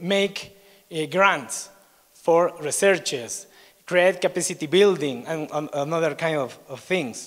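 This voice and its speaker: Very slow speech in an Ecuadorian accent. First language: Spanish. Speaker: researcher at a biodiversity institute. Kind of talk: conference presentation. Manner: halting.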